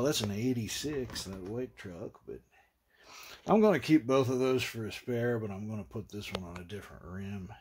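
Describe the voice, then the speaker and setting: With an Appalachian accent, a man of medium pitch speaks at a moderate pace, showing ordinary pitch variation and big swings in loudness. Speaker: retro computing vlogger. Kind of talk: casual vlog monologue. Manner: rambling, halting.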